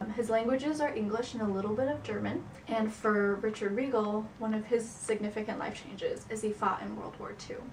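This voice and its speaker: A woman at a fairly quick pace with hardly any pauses, fairly high pitch and fairly even intonation, amid noticeable background noise and audible room echo. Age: 20s. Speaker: psychology student. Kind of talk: class project presentation.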